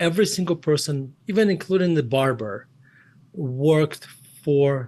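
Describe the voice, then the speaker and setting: Speaking with a Russian accent, a man uses ordinary pitch variation. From Russia, Murmansk. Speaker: investment firm CEO and author. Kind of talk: interview.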